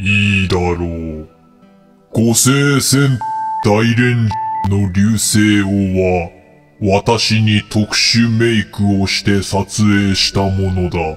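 A put-on character voice at a very slow pace, with faint music in the background. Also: man, fairly low pitch for a man. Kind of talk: solemn mythic pronouncement. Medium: audio drama. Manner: archaic, commanding and stiff.

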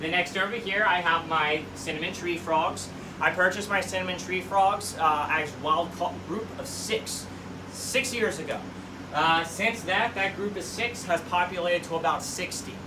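A man speaks at a moderate pace in a high voice with fairly even intonation, over noticeable background noise. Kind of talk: casual tour commentary. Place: home room. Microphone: camera far.

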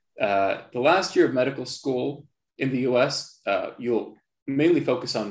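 Audible room echo surrounds a man's voice. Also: quiet background. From Palestine (Jerusalem). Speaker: surgeon. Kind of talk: lecture. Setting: video call. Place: home room. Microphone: video call.

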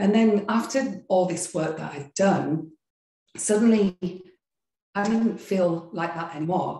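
With audible room echo, a woman speaks at a fairly slow pace in a somewhat breathy voice with a dark, mellow tone. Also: ordinary pitch variation. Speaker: yoga and meditation teacher. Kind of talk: interview. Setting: video call. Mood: warm, reflective storytelling. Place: home room. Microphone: video call.

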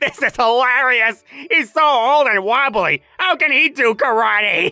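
A raised, projected voice with lively intonation moves at a fairly slow pace in a dry, close sound with no echo. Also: man, extremely high pitch for a man. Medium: fan dub. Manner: aggressive, taunting, loud.

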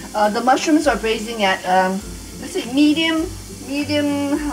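Over noticeable background noise, a woman talks at a moderate pace with very wide pitch swings. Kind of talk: tutorial. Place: kitchen.

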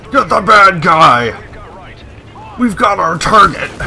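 In a put-on character voice, a man uses a raised, projected, gruff delivery at a high pitch with lively intonation and a fairly slow pace, over clear background noise. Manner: gruff, generic action-hero delivery.

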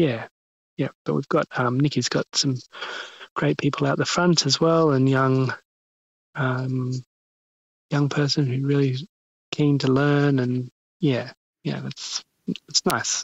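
A man with an Australian accent talks very slowly, with long, frequent pauses. His pitch is medium and his intonation fairly even. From Western Australia (Albany). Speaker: chef and restaurant owner. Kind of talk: interview. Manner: hesitant, many ums.

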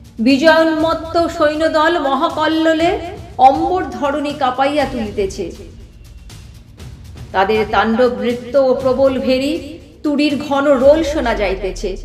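A woman's high-pitched voice with music in the background. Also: ordinary pitch variation. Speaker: poetry reciter. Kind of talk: prose narration introduction to a poem.

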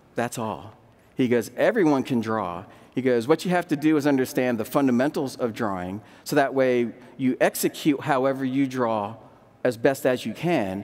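A man with an American accent talks at a moderate pace and medium pitch, with ordinary pitch variation. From Delaware, US. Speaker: ceramic artist and printmaker; demonstrating artist. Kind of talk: live demonstration talk. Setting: stage with audience. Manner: casual, halting with fillers. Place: stage. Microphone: headset.

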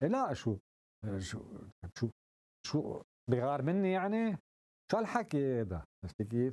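A man speaks in a dark, mellow tone with very wide pitch swings. His pace is fairly slow, broken by long, frequent pauses. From Lebanon. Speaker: actor and playwright; interview guest. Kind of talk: interview. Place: studio. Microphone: lapel.

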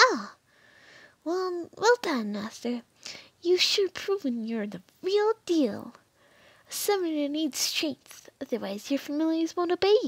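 A woman puts on a character voice with a high pitch. She speaks at a fairly slow pace with long, frequent pauses. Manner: cheerful, eager, fawning toward master.

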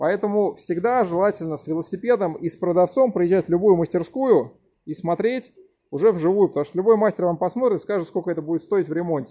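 A man talks very fast in a high voice with lively intonation. The background is quiet. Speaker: bicycle mechanic. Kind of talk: tutorial. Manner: loud. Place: workshop. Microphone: phone near.

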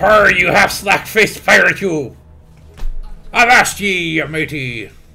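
A man's put-on character voice, high-pitched and fairly slow, with faint music in the background. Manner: playful, theatrical.

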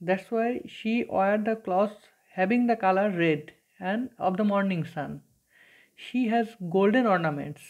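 Against a quiet background, a woman with a Bengali accent speaks at a fairly slow pace with ordinary pitch variation. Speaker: teacher. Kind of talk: lecture. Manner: hesitant, many fillers. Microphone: phone near.

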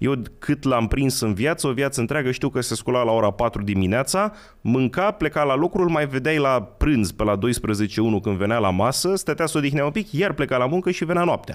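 With a quiet background, a man speaks at a moderate pace, his pitch swinging very widely. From Romania, Călărași county; Romania. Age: 30s. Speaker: history enthusiast; podcast guest. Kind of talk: casual chat. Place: studio. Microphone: studio mic.

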